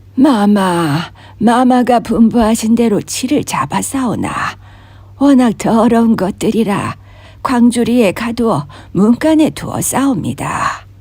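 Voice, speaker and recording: Doing a put-on character voice, a woman speaks fairly slowly in a shaky, fairly high pitch with lively intonation over light background noise. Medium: read story. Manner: hushed, trembling.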